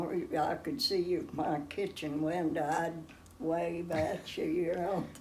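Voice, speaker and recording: A woman speaks at a fairly slow pace in a fairly low pitch. Noticeable background noise sits behind her. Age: 80s+. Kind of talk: interview answer.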